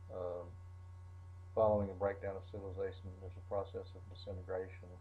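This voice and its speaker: A man's very deep, low voice in a flat monotone at a fairly quick pace, over noticeable background noise. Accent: Southern US. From Arkansas. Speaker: college lecturer. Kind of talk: recorded lecture.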